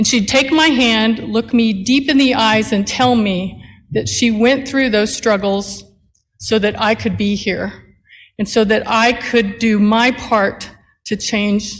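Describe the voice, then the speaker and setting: At a very slow pace, a somewhat breathy woman speaks with fairly high pitch for a woman and fairly even intonation. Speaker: attorney and nonprofit CEO. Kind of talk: commencement speech.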